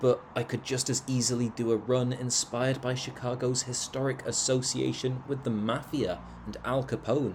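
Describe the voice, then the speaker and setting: A man with a British accent, medium pitch, vocal fry and monotone, flat intonation, at a moderate pace with hardly any pauses. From Britain. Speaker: travel vlogger. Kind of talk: video narration. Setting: outdoors.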